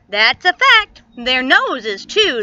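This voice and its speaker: A raised, projected put-on character voice moves through very wide pitch swings. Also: woman, high pitch for a woman. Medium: read story. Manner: gallant, easygoing.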